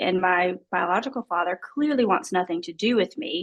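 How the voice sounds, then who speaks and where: A woman with an Alabama accent and lively intonation. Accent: Southern US (Alabama). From US South, small-town Alabama. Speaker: adoptee guest. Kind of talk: interview testimony.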